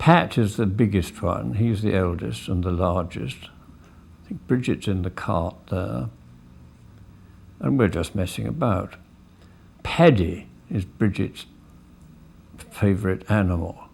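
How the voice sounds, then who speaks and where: With a southern English accent, a man speaks at a very slow pace in a very deep, low pitch, with lively intonation and vocal fry. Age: 70s. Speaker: family film narrator. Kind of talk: home movie commentary. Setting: outdoors. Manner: casual, halting.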